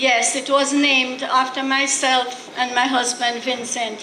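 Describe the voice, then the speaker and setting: A woman with a Jamaican accent uses a raised, projected voice at a high pitch and a fairly slow pace. Audible room echo and noticeable background noise surround her. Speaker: record label co-founder. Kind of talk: award acceptance speech.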